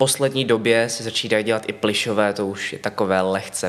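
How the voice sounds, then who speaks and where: A man's medium-pitched voice at a moderate pace. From Czechia, Ostrava. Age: 20s. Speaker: puppy play titleholder. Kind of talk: casual interview.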